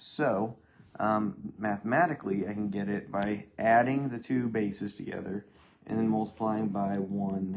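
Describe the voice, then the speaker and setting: This man has a plain, everyday voice, fairly low in pitch with ordinary pitch variation. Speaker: math teacher. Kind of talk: tutorial.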